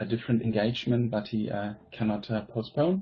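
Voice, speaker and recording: The speaker has a German accent. He is a man. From Germany. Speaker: teacher and presenter. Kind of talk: conference presentation.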